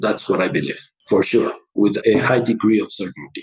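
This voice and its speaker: A man talks with a Mexican accent. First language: Spanish. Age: 60s. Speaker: chemical engineer and business owner. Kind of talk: presentation in podcast interview.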